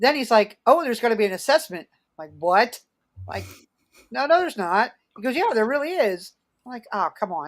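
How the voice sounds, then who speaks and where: A woman with an American accent speaks in an animated tone with very wide pitch swings. Her loudness swings widely, and she leaves long, frequent pauses. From Philadelphia area, US. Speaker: Santa performer and online group founder. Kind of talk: podcast interview. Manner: halting.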